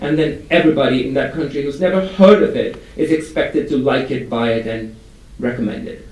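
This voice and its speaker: A man speaks with lively intonation amid noticeable background noise and audible room echo. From India. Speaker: advertising strategy executive. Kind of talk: conference presentation.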